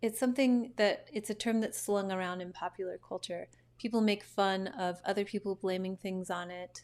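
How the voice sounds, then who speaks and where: With a plain, everyday voice, a woman of medium pitch speaks at a moderate pace with fairly even intonation. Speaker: astrologer. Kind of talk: casual monologue to camera.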